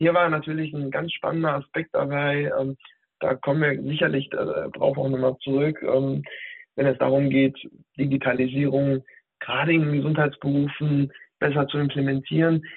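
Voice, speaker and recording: Monotone and flat, a man's fairly high voice moves at a moderate pace. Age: 30s. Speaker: digital health specialist, former nurse. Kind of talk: interview. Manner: hesitant, many fillers.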